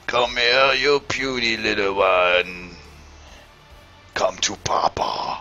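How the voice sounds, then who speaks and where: Putting on a character voice, a man with a medium pitch speaks at a very slow pace over faint background music. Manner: menacing, taunting.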